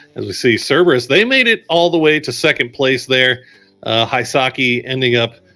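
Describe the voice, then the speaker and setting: Speaking with a Texan accent, a man uses a bright, sharp tone at medium pitch, moderate pace and ordinary pitch variation. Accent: Texan American English. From Texas. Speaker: esports caster. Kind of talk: live commentary.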